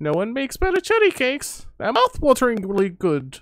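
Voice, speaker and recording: A put-on character voice with a fairly high pitch moves along at a fairly quick pace. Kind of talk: stream reading of game text. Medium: game stream. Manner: chatty, rambling.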